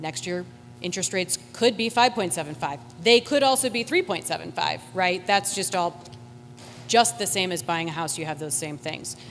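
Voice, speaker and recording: Over music in the background, a woman speaks at a moderate pace with a fairly low pitch. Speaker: school district administrator. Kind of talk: public meeting explanation. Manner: loud.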